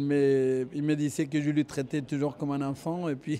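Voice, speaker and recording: In a very clean recording with a silent background, a man's fairly high voice has a dark, mellow tone and monotone, flat intonation. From Argentina. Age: 50s. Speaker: tennis coach. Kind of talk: interview. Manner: hesitant, many fillers.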